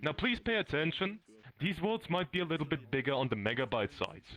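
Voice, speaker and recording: A man with a strong German accent speaks at a moderate pace, his pitch swinging very widely. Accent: German accent, self-described as strong. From Germany, Bavaria. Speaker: tour guide in a VR community. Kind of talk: guided tour. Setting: virtual reality world with a group.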